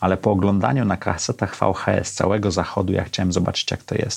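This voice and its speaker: Here a man speaks at a fairly quick pace. His pitch is very deep and low. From Poland, Gdańsk. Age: 50s. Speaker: podcast host. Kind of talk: solo monologue.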